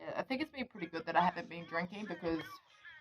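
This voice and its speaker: A woman speaks at a fairly low pitch with a New Zealand accent. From New Zealand, Wellington. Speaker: vlogger. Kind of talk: casual chat. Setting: outdoors.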